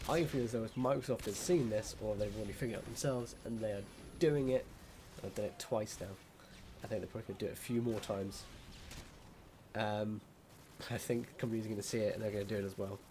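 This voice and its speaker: Though he talks at a very fast pace, a man leaves long, frequent pauses, his somewhat breathy voice dark and mellow at a fairly low pitch with ordinary pitch variation. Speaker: gaming YouTuber. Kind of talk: casual gameplay commentary rant.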